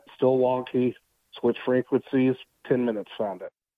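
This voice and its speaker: A normal speaking voice, a man at medium pitch and a moderate pace. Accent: American. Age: 30s. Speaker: utility locator. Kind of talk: casual chat.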